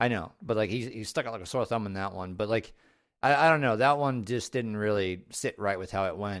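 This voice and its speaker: A man's unremarkable speaking voice, fairly low in pitch and fairly quick, with ordinary pitch variation on a very clean recording against a silent background. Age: 30s. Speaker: podcast host. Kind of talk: casual chat.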